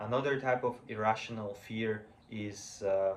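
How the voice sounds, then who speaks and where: A man with a non-native accent. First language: not English. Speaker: vlogger practicing public speaking. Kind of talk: impromptu solo speech to camera. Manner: halting, many fillers and restarts.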